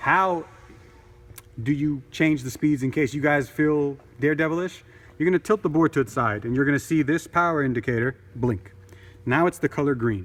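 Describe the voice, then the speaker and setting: A man speaks at a moderate pace with ordinary pitch variation and long, frequent pauses. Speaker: product demonstrator. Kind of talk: tutorial. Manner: loud; casual.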